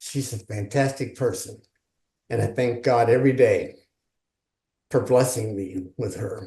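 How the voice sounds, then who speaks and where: Pausing long and often, a man talks at a fairly slow pace in a somewhat breathy, dark and mellow voice with fairly even intonation. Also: medium pitch for a man. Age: 70s. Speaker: author and leadership coach. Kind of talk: interview.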